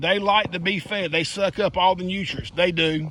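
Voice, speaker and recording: Speaking at a moderate pace, a man with a high voice talks in a Southern US accent. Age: 60s. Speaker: gardening vlogger. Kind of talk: casual garden walkthrough vlog. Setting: outdoors in garden. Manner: casual and chatty.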